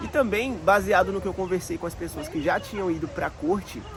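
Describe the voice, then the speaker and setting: Against noticeable background noise, a man with a high pitch talks at a fairly quick pace with ordinary pitch variation. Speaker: immigrant vlogger. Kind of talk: casual storytelling vlog. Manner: informal, chatty.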